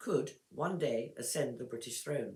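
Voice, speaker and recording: A woman with an English accent, her pitch swinging very widely. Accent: clear English. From England. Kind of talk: text read-aloud for pronunciation practice. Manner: clear, measured.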